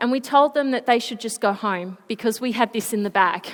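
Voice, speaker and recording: With an Australian accent, a woman speaks high-pitched in an animated tone. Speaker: Paralympic swimmer, motivational speaker. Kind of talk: school presentation. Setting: school assembly stage.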